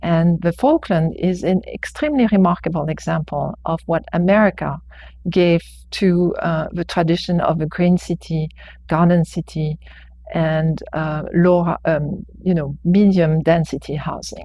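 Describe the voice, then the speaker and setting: A somewhat breathy voice with a dark, mellow tone speaks at a fairly slow pace with fairly even intonation, on a very clean recording with a silent background. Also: woman, fairly low pitch for a woman. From France. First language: French. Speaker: architecture professor. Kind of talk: public testimony. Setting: planning board hearing. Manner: hesitant, many fillers.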